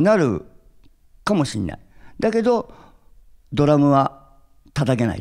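Against a quiet background, a man talks at a fairly slow pace with a fairly high pitch, very wide pitch swings and big swings in loudness. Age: 60s. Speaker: drummer; interviewee. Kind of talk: interview; interview answer. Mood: cheerful, reflective. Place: stage. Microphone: handheld.

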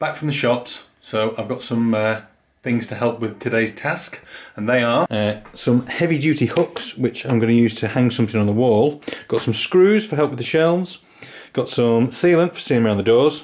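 Ordinary pitch variation accompanies speech at a moderate pace. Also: man. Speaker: home vlogger. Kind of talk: casual vlog chat. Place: garage. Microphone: phone near.

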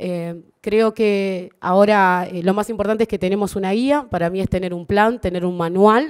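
At a moderate pace with hardly any pauses, a woman speaks at a medium pitch with ordinary pitch variation over a quiet background. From Uruguay. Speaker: government official. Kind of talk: formal speech. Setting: stage with audience. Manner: halting. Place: hall. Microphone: podium.

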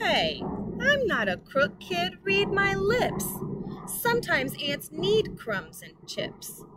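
Over faint music in the background, a woman does a put-on character voice with extremely high pitch, very wide pitch swings, a fairly bright tone and a slow pace.

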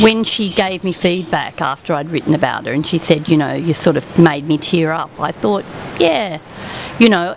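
The sound is dry with no echo, carrying an Australian accent, ordinary pitch variation and noticeable background noise. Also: woman. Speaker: retired teacher and local writer. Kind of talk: casual interview. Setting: outdoors at a venue, live broadcast. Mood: warm, engaged. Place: cafe. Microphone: studio mic.

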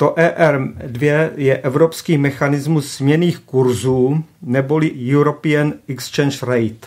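A man talks at a very slow pace. His voice is fairly high, with fairly even intonation. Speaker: economist. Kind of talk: radio talk show interview. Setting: studio.

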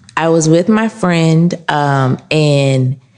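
Against noticeable background noise, a woman speaks with a very deep, low pitch and ordinary pitch variation. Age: 30s. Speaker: candle shop owner. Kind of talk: interview. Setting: in her shop.

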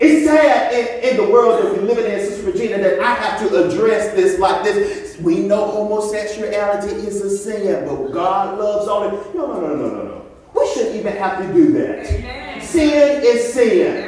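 Lively intonation from a man at a moderate pace, hardly any pauses, strong room echo and light background noise. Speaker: preacher. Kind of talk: sermon. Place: church. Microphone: camera far.

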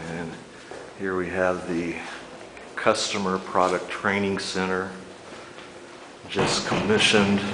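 A man at a very slow pace over noticeable background noise. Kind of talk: casual tour commentary. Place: office. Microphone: phone near.

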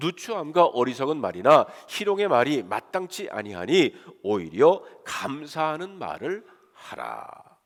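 A man's voice with vocal fry, very wide pitch swings and a fairly slow pace. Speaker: pastor. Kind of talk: sermon.

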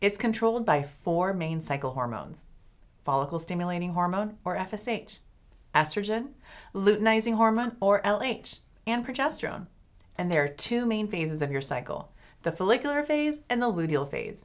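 A woman's pitch swings very widely as she talks at a moderate pace, with a quiet background behind her. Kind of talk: educational explainer. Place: office.

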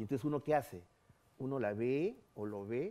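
At a moderate pace, a man with a medium-pitched, dark, mellow voice talks with ordinary pitch variation. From Peru. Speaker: ufologist and radio host; radio host. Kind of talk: interview, storytelling. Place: studio.

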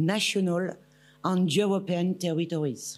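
With music in the background, a woman speaks with fairly even intonation. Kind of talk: formal speech. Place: hall. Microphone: podium.

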